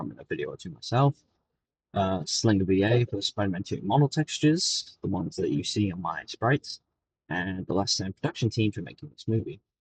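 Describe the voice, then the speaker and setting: A somewhat breathy man at a fairly quick pace, dry, close sound with no echo. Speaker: YouTuber. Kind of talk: casual chat.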